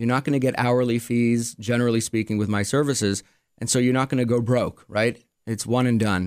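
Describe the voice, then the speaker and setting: On a very clean recording with a silent background, a man with a Quebec accent speaks fairly quickly at a medium pitch, with fairly even intonation and very even loudness. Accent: Canadian, Quebec-tinged English. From Montreal, Quebec, Canada. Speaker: attorney. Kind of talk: casual interview. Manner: hesitant, filler-heavy.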